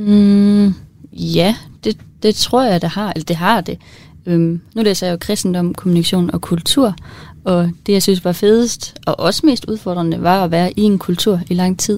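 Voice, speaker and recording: A normal speaking voice from a woman, medium in pitch, fairly even in intonation, at a fairly slow pace. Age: 20s. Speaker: student co-presenter. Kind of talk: casual chat. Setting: studio.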